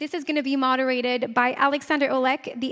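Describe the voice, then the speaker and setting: A woman speaks at a high pitch with fairly even intonation. Background noise is noticeable. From Canada. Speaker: conference emcee. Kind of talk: event hosting announcements. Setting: conference stage with audience.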